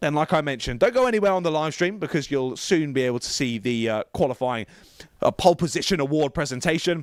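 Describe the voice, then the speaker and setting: A man with a British accent talks at a very fast pace in a fairly high pitch, his animated tone full of very wide pitch swings. The recording is very clean with a silent background and a dry, close sound with no echo. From Britain. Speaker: motorsport commentator. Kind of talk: live commentary.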